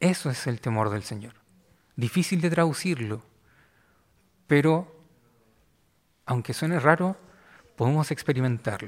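A man with a Chilean accent speaks at a fairly high pitch and a fairly slow pace, using lively intonation and long, frequent pauses. The recording is very clean, with a silent background. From Chile, Valparaíso. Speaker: pastor. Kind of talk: sermon.

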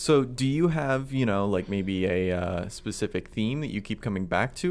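A man talks with a plain, everyday voice at a fairly low pitch. His intonation is lively. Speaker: podcast host. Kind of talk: casual interview. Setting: studio.

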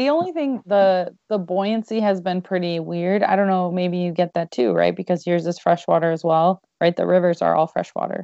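A woman with an American accent uses an ordinary speaking voice, fairly low in pitch, with ordinary pitch variation, a moderate pace and hardly any pauses. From Michigan. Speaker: podcast host. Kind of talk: casual interview.

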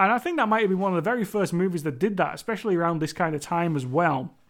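A man with a Cumbrian accent speaks at a very fast pace and high pitch, with ordinary pitch variation, on a very clean recording with a silent background. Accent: Cumbrian northern English. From Cumbria, northern England. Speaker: horror movie podcaster. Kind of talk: solo movie review monologue. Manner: casual, conversational, filler words.

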